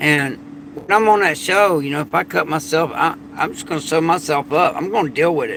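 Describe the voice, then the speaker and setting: With noticeable background noise behind him, a man speaks in a fairly high pitch with a Southern US accent. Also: ordinary pitch variation, fairly quick pace. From Florida. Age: 50s. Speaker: prepper and survival channel host. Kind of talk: late-night livestream monologue. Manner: casual, repetitive.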